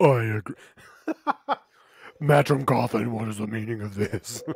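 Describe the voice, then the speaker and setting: A raspy, put-on character voice at a moderate pace, with big swings in loudness. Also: man, medium pitch for a man. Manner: stern, commanding.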